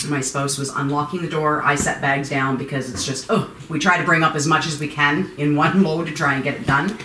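Amid light background noise and audible room echo, a woman with a very deep, low pitch talks at a fairly quick pace with hardly any pauses and fairly even intonation. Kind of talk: interview answer. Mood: uneasy, nervous laughter. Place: home room. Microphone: camera far.

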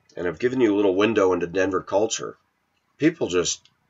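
Animated man's voice, fairly low in pitch, with a quiet background. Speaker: video blogger. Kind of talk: casual rant monologue. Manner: opinionated, animated. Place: kitchen. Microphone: webcam.

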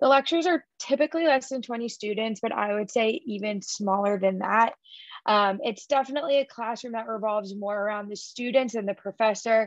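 The pace is fairly quick, in a plain, everyday voice with ordinary pitch variation. The background is quiet and the sound is dry with no echo. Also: woman, fairly high pitch for a woman. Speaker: college admissions representative. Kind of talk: presentation at a virtual college fair. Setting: video call. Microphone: webcam.

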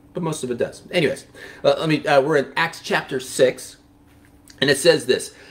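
The speaker, a man, keeps to a moderate pace. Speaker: pastor or Bible teacher. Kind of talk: devotional Bible teaching. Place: studio.

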